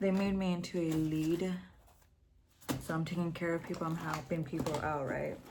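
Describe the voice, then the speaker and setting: Mumbling at a fairly low pitch with monotone, flat intonation and very even loudness, a woman leaves long, frequent pauses amid noticeable background noise and audible room echo. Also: moderate pace. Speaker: vlogger. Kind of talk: casual vlog monologue.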